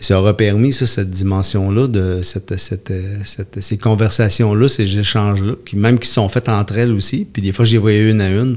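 A man with a normal speaking voice talks at a fairly low pitch. His intonation stays fairly even. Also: moderate pace. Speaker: community worker for men's services. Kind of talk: interview.

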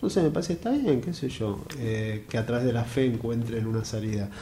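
Audible room echo follows speech delivered at a moderate pace. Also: man. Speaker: theatre director and journalist. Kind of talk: interview.

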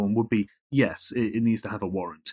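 Recorded very cleanly against a silent background, a man with a British accent speaks at a medium pitch, the sound dry and close with no echo. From Britain. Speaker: journalist. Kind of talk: interview.

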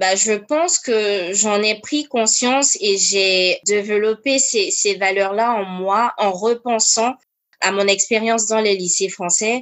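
Very even in loudness, a woman speaks at a very slow pace with ordinary pitch variation. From diplomat family, grew up in Korea, Congo, Cameroon; Ivorian roots. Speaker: charity founder and finance employee. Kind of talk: interview. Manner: hesitant with many fillers.

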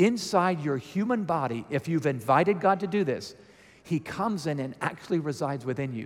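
A man speaks in a plain, everyday voice at a fairly high pitch. His pace is moderate and his intonation lively. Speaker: guest speaker at church. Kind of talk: sermon. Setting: church with audience.

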